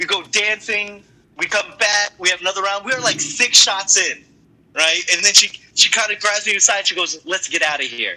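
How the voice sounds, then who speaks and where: This man speaks with an American accent at a high pitch. Background noise is noticeable. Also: ordinary pitch variation, moderate pace. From Boston. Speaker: comedian. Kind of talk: casual chat.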